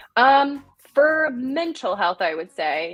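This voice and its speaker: A woman speaks very slowly with an American accent and very wide pitch swings. Music plays in the background. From South Jersey, US. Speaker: family counselor. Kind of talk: interview.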